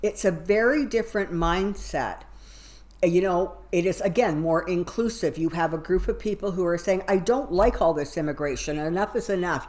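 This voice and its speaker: At a moderate pace, the speaker talks with a western Canadian accent and ordinary pitch variation. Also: woman. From Alberta, Canada. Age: 60s. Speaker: tarot reader. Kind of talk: tarot reading and political commentary monologue.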